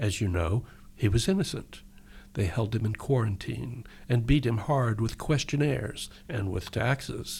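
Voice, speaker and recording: A man's medium-pitched voice with vocal fry and lively intonation, at a fairly slow pace, on a very clean recording with a silent background. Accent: American. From Texas. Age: 60s. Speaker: poet and novelist. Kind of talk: poetry reading and interview. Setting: radio studio.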